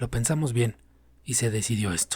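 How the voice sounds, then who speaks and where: Somewhat breathy, a man with a medium pitch speaks at a fairly quick pace. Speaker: narrator. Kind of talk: audiobook story reading.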